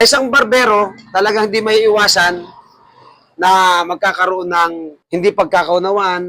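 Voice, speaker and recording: A man's raised, projected voice, high in pitch, at a moderate pace, with fairly even intonation and very even loudness. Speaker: barbershop owner and barber mentor. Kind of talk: farewell speech to staff. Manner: loud voice.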